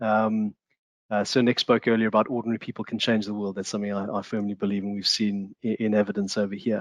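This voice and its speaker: A man's fairly low voice in a monotone, flat intonation at a very fast pace. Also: dry, close sound with no echo, quiet background. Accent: South African. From South Africa. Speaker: discussion panelist. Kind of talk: online panel discussion. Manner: halting, many fillers and repetitions.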